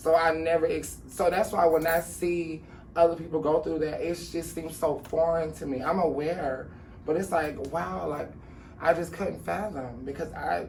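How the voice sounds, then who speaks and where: A woman talks at a moderate pace with fairly even intonation and a very deep, low pitch. Room echo is audible. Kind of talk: interview. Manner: casual, conversational.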